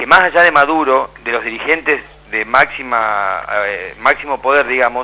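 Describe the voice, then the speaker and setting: Against noticeable background noise, a man of medium pitch speaks at a moderate pace with lively intonation. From Argentina, Santa Fe. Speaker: documentary filmmaker. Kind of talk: debate on radio. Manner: animated.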